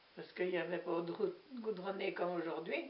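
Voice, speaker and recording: Lively intonation from a woman, with noticeable background noise. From Normandy, France (Manche). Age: 80s+. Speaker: war witness, former farm worker. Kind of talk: testimony. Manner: hesitant, conversational.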